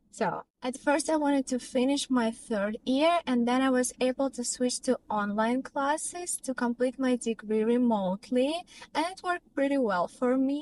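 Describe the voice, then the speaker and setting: Someone with a Russian accent speaks at a moderate pace with ordinary pitch variation and hardly any pauses. The sound is dry and close with no echo. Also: woman, high pitch for a woman. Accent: non-native English, Russian. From Russia, Tyumen. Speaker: vlogger and professional dancer. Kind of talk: personal vlog storytelling.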